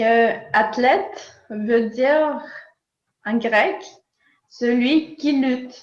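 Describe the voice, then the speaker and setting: In a room with audible echo, a woman speaks at a high pitch and a very slow pace with ordinary pitch variation and long, frequent pauses. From Nicaragua. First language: Spanish (speaking French). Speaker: philosopher. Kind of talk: interview. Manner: hesitant, many fillers.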